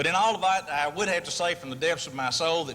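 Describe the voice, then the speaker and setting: A man speaks at a fairly quick pace in a fairly high pitch, with ordinary pitch variation and noticeable background noise. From Texas, Amarillo. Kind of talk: award acceptance speech.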